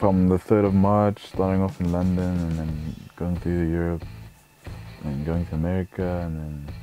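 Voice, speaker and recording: With faint music in the background, a man with a very deep, low pitch speaks at a moderate pace, leaving long, frequent pauses, in a dry sound with no echo. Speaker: interviewee. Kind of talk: interview answer. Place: home room.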